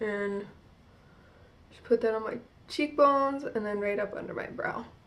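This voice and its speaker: Speaking in an American accent, a woman at fairly high pitch talks at a moderate pace with ordinary pitch variation and big swings in loudness. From New Jersey. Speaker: beauty vlogger. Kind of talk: makeup tutorial vlog. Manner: casual, filler-heavy.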